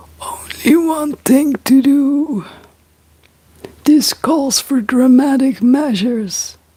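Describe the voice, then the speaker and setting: In a put-on character voice, a woman speaks very slowly and wheezily at a high pitch, with ordinary pitch variation, very even loudness and long, frequent pauses. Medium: read story. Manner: wheezy.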